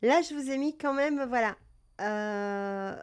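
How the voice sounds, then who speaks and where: On a very clean recording with a silent background, a woman speaks in a calm tone at a high pitch with ordinary pitch variation. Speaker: cat breeder and live-stream presenter. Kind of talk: live stream talk about cat health. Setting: live stream. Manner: hesitant, many fillers.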